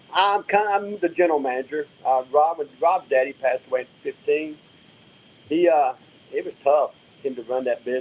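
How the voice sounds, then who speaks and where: With a Southern US accent, a man speaks at a moderate pace using lively intonation. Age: 60s. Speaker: drag racing driver. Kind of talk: casual chat. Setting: live stream podcast.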